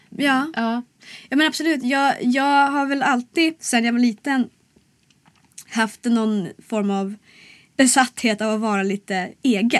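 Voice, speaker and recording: Long, frequent pauses break up the speech at a fairly slow pace. Pitch variation is ordinary. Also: woman, high pitch for a woman. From Sollefteå, Västernorrland, northern Sweden. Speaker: singer-songwriter and cabaret artist. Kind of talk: casual interview. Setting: studio.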